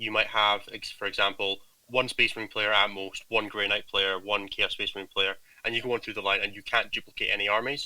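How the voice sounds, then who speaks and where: With a strong Scottish accent, a man talks very fast at a medium pitch in a bright, sharp tone and a monotone, flat delivery. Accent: Scottish, thick. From Scotland. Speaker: gaming team captain. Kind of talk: casual chat.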